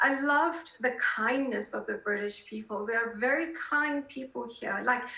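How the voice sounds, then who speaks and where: A woman's high-pitched voice with lively intonation and hardly any pauses, over noticeable background noise. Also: moderate pace. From South Africa. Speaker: political columnist. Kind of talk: interview conversation.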